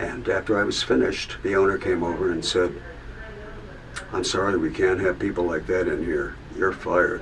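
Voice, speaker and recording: With long, frequent pauses at a moderate pace, a man speaks amid noticeable background noise and audible room echo. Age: 70s. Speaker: musician sharing life story. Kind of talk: testimony. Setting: video booth. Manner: halting, many fillers.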